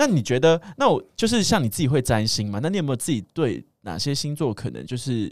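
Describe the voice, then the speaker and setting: An unremarkable speaking voice from a man, fairly quick and lively in intonation, comes through dry and close with no echo on a very clean recording with a silent background. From Taiwan. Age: 30s. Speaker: podcast guest. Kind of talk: casual chat.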